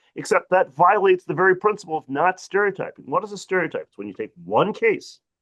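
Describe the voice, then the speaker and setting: Recorded with a dry, close sound and no echo, a man with an American accent speaks at a fairly quick pace. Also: big swings in loudness. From US Midwest, Detroit. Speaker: civil rights advocate, panelist. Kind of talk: panel discussion. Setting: webinar video call. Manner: animated.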